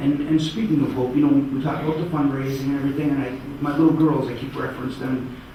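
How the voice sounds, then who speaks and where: Noticeable background noise and audible room echo surround a man speaking at a very fast pace. His pitch is medium and his intonation fairly even. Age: 40s. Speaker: cancer survivor speaker. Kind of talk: speech. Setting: stage with audience.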